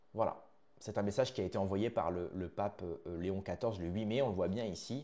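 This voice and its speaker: A man's dark, mellow tone at a fairly low pitch, with ordinary pitch variation and a fairly quick pace. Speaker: news commentary YouTuber. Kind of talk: video commentary monologue. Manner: hesitant, many fillers.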